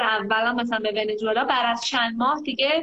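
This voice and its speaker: Amid noticeable background noise and audible room echo, a woman with a fairly high pitch talks at a moderate pace. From Iran, Tehran. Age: 20s. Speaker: traveler and volunteer. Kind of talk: casual chat. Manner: animated.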